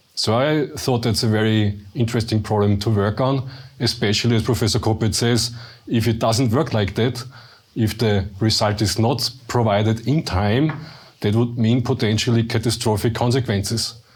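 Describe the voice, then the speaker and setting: A man talks at a moderate pace in a somewhat breathy voice, his loudness very even and his intonation fairly level. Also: medium pitch for a man. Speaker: research director. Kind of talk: panel interview.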